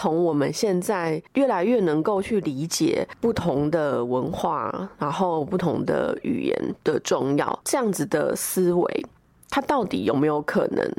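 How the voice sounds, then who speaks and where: This woman has an unremarkable speaking voice, fairly low in pitch, with lively intonation at a fairly slow pace. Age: young. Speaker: podcast producer. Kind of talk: solo recorded commentary.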